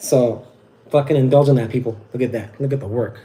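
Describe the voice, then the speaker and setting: With an American accent, the speaker sounds somewhat breathy and dark and mellow in tone, keeping fairly even intonation at a moderate pace. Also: man. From Southern California. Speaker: wet-shaving livestreamer. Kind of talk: casual livestream talk. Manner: halting, stuttering.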